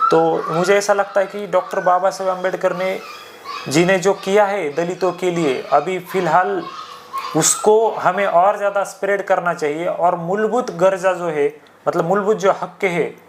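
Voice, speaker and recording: Against noticeable background noise, a man speaks in a high pitch with fairly even intonation. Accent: Marathi. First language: Marathi (speaking Hindi). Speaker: podcast guest. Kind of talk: casual discussion. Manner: hesitant, many fillers.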